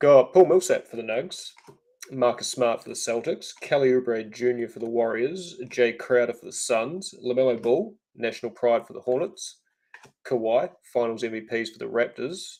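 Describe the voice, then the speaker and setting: With a New Zealand accent, a man speaks in a medium pitch and a dark, mellow tone, at a moderate pace with ordinary pitch variation. His loudness swings widely. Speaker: trading card break host. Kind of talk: live stream card break commentary.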